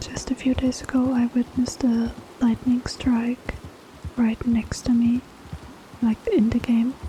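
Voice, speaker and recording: Soft-spoken and relaxed, a woman with a high pitch talks in a flat monotone at very even loudness, leaving long, frequent pauses over noticeable background noise. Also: fairly slow pace. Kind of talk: casual talk to camera. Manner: soft-spoken, relaxed.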